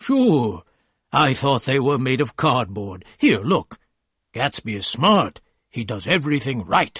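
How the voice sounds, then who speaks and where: A man speaks at a fairly slow pace in a put-on character voice, raspy and at a medium pitch. His intonation is lively. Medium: read story.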